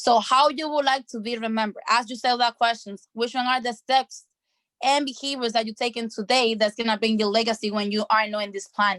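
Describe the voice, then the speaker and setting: On a dry, close recording with no echo, a woman speaks at a fairly quick pace with fairly even intonation. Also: fairly high pitch for a woman. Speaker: online mentor. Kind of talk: motivational training session. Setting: video call. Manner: fast.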